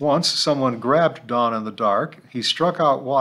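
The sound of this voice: Pitch shifts in an ordinary way through an unforced reading voice.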